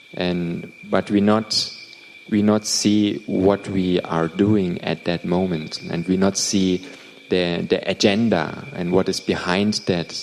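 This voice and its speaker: A man with a non-native accent and a very deep, low pitch, speaking very slowly in a flat monotone amid noticeable background noise. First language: not English. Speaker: interpreter for a meditation teacher. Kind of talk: translated dharma talk Q&A. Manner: halting, repeats words.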